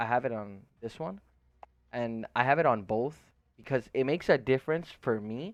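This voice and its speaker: In a dry, close recording with no echo and a quiet background, a man with a non-native accent speaks at a moderate pace, his medium pitch varying in an ordinary way. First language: not English. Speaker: gaming streamer. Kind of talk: tutorial. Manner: casual, filler-heavy.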